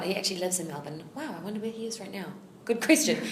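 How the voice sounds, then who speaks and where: Lively intonation marks this voice with a New Zealand accent, heard over noticeable background noise. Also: woman. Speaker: actress. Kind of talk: interview answer.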